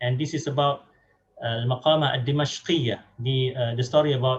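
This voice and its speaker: In a Malaysian accent, a man speaks at medium pitch and a moderate pace, somewhat breathy, with fairly even intonation. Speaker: academic speaker on translation. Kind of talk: lecture. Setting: online webinar. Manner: halting, many fillers.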